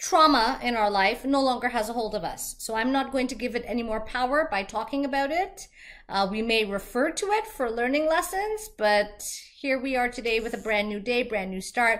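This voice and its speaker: A woman with a slight Canadian accent talks at a moderate pace in a high pitch with lively intonation, on a very clean recording with a silent background. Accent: little accent, Canadian-sounding. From Trinidad and Tobago. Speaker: vlogger. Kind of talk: vlog monologue.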